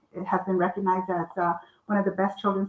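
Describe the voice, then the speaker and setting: The speaker is a woman with a Spanish accent. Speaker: children's author and publisher. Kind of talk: author talk. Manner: halting, many fillers.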